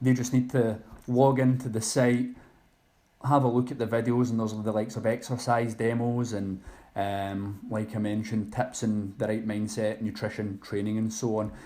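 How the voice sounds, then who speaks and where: A man with a Scottish accent speaks in a medium pitch with monotone, flat intonation and a dark, mellow tone. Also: moderate pace. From Scotland, Loch Lomond. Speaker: online personal trainer. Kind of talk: podcast interview.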